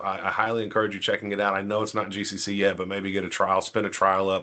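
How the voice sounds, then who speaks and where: In a quiet setting, a man talks with a fairly low pitch. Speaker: tech presenter. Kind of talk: webinar demo. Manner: fast; halting, many fillers.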